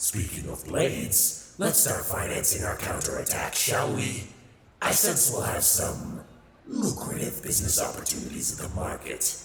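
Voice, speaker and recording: Through strong echo and clear background noise, a man does a put-on character voice at a moderate pace in a fairly low pitch. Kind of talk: ASMR audio roleplay. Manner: sardonic, playful.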